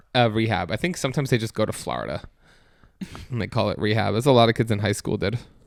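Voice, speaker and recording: Vocal fry runs through this man's medium-pitched voice. He speaks at a very fast pace. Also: long, frequent pauses. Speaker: podcast co-host. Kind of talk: casual chat.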